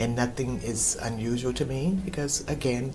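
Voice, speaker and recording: A female voice with audible room echo and noticeable background noise. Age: 60s. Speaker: customer service representative. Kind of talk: interview testimonial.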